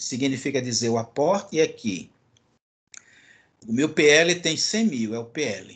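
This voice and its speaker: A man is speaking. His pitch swings very widely. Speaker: university lecturer. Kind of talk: lecture. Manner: fast.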